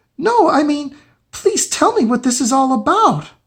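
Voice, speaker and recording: Moderate pace and high pitch in a put-on character voice. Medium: read story.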